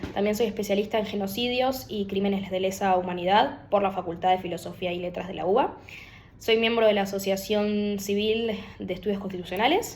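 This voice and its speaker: A woman with a Rioplatense accent at medium pitch, fairly quick, with audible room echo. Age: 20s. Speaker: lawyer. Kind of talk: political opinion monologue to camera. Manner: hesitant, many fillers.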